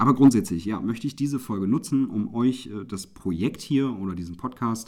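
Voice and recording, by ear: Fairly low-pitched male voice with a dark, mellow tone, ordinary pitch variation and a moderate pace, on a very clean recording with a silent background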